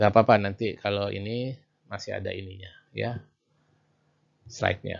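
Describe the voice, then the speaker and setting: A man speaks at a fairly slow pace. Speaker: university lecturer. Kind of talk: lecture. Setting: video call. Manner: loud. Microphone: too quiet.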